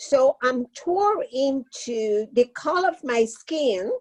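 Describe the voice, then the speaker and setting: A woman with a Cuban accent speaks in a high pitch with lively intonation, the sound dry and close with no echo. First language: Spanish. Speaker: retired social worker, panelist. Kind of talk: panel discussion. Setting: webinar.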